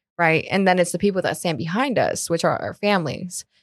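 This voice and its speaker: A woman with an ordinary speaking voice and a fairly low pitch is heard in a very clean recording with a silent background. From Colombia, moved to South Florida. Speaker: commercial real estate advisor. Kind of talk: casual interview.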